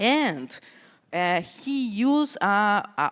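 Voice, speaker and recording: In a Brazilian accent, a woman talks at a fairly high pitch with very wide pitch swings, the sound dry and close with no echo and the background quiet. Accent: Brazilian Portuguese accent, noticeable. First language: Portuguese. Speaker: conference speaker, cybersecurity researcher. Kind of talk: conference talk. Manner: halting, many fillers.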